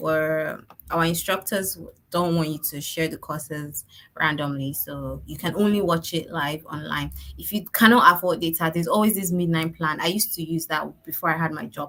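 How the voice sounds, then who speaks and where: A woman with fairly low pitch, a plain, everyday voice, fairly even intonation and a moderate pace. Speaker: online course organizer. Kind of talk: orientation presentation.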